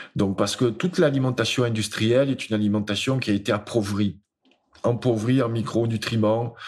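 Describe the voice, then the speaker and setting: Speaking at a medium pitch and moderate pace with very even loudness and ordinary pitch variation, this man has a plain, everyday voice. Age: 50s. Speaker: speaker and author. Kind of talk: casual interview.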